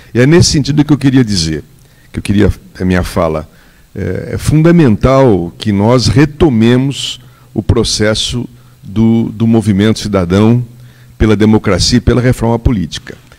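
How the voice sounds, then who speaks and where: At a moderate pace, a man talks with medium pitch and lively intonation. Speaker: political adviser speaking from the audience. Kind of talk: audience comment at a public debate. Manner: animated.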